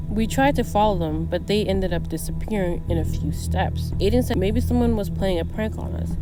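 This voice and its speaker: With music playing in the background, a woman speaks at a fairly quick pace. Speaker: horror story narrator. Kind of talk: horror story narration.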